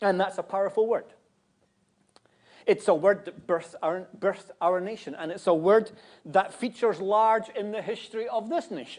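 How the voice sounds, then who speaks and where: A man with a Scottish accent speaks at a high pitch and moderate pace with ordinary pitch variation. His loudness swings widely. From Scotland. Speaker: guest preacher. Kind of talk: sermon. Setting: church.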